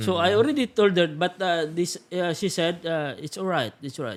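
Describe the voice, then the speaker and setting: In a Filipino accent, a man talks at a high pitch and moderate pace with ordinary pitch variation. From Philippines, Iloilo. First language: Hiligaynon (Ilonggo). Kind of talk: casual podcast conversation. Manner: hesitant, many fillers.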